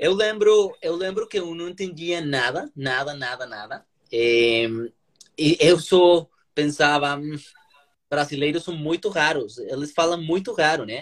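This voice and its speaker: Big swings in loudness mark a man's speech, which is fairly high in pitch, fairly slow and lively in intonation. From Colombia. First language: Spanish (speaking Portuguese). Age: 30s. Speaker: lawyer and language learner. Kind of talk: interview. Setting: Instagram live video call. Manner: halting.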